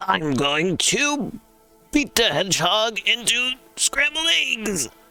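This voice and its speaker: A put-on character voice with fairly high pitch moves through very wide pitch swings at a very slow pace. Faint music plays in the background. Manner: comedic, menacing.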